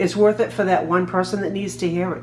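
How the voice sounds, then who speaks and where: Here a woman speaks in a Massachusetts accent. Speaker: trauma survivor and PTSD advocate. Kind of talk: personal testimony monologue. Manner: halting, repeats words.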